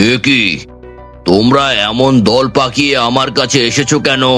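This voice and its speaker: In a cartoonish character voice with medium pitch, a man speaks at very even loudness over clear background music. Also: fairly slow pace. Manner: haughty, menacing.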